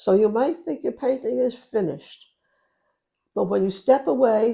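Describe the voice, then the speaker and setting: A woman with an American accent has a fairly high pitch and a dark, mellow tone. Vocal fry runs through her speech. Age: 80s+. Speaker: painter. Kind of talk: interview answer.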